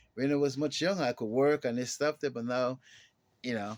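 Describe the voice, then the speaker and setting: Music plays in the background as a man speaks in a dry, close sound with no echo. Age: 60s. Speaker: pastor. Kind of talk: lecture with personal testimony. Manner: halting.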